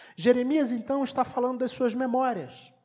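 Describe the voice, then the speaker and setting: A woman is speaking. The tone of her voice is dark and mellow. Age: 30s. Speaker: pastor. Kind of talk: sermon.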